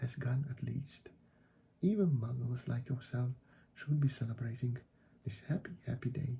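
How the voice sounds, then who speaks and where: A man's dark, mellow, somewhat breathy voice at medium pitch, moderate pace and ordinary pitch variation. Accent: non-native. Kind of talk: ASMR audiobook reading.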